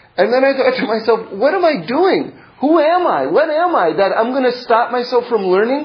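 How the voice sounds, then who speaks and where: A man speaks at a fairly quick pace with lively intonation. Noticeable background noise and audible room echo come through. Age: 40s. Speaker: Torah teacher. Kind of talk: lecture. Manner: halting.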